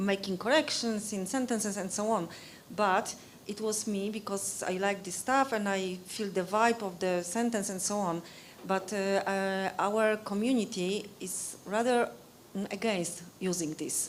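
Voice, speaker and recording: In a room with audible echo, a woman with a Polish accent speaks at a fairly slow pace in a medium pitch with fairly even intonation. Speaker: Wikipedia educator. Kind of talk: conference discussion. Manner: halting.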